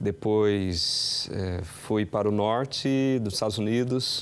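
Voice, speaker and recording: In a very clean recording with a silent background, a man with a normal speaking voice talks at medium pitch and with ordinary pitch variation. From Brazil. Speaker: pastor. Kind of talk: TV interview.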